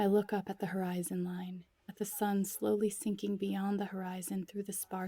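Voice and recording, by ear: The passage is delivered as reading aloud in a natural voice.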